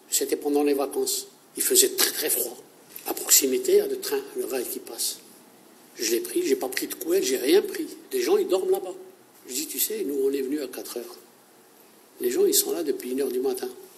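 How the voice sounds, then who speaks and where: With an extremely high pitch and monotone, flat intonation, a man talks at a fairly quick pace with long, frequent pauses over noticeable background noise. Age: 60s. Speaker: unemployed volunteer. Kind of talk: interview testimony. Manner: halting.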